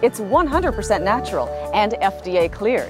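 Over clear background music, a woman speaks at a moderate pace in a dry sound with no echo. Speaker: infomercial host. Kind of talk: TV infomercial read. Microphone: lapel.

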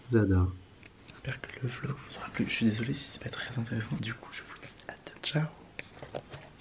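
A soft-spoken man at a fairly slow pace, with noticeable background noise. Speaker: vlogger. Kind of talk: casual vlog talk. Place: home room. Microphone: phone near.

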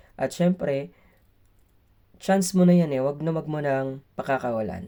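A man talks at a fairly quick pace in a dark, mellow tone with ordinary pitch variation. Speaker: teacher and vlogger. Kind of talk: vlog. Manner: polite, uses "po".

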